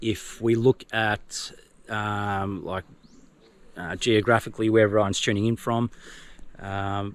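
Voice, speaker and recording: Fairly low-pitched male voice with an Australian accent, monotone and flat, at a fairly slow pace with long, frequent pauses. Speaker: vlogger. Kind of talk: casual vlog talk to camera. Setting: outdoors by the water. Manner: hesitant, many fillers.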